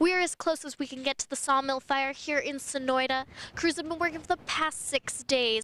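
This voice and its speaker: A woman projects a raised, high voice with a bright, sharp tone and fairly even intonation at a moderate pace. Her loudness swings widely, and the sound is dry and close with no echo. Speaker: TV news reporter. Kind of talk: TV news report.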